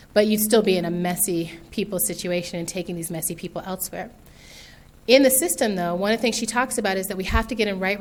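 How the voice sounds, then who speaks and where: A woman with an American accent, medium-pitched, talking at a fairly quick pace with ordinary pitch variation, audible room echo around her. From US, military environment. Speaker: author and speaker. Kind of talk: keynote talk. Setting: stage with audience. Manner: fast; animated.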